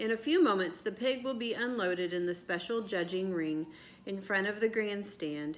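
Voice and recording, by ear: The clip is read aloud in a natural voice.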